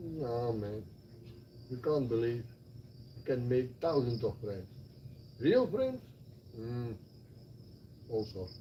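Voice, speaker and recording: In a Flemish Belgian accent, a man with a medium pitch and ordinary pitch variation speaks at a very slow pace with long, frequent pauses amid audible room echo. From Belgium (Flanders). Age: 60s. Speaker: retired expat. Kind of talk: casual chat. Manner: animated.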